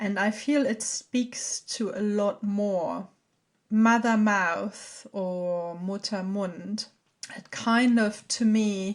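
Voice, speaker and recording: Very slow, fairly even speech with a German accent. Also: woman, medium pitch for a woman. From Germany. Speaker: podcast host, artist and herbalist. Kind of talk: solo podcast talk. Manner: halting.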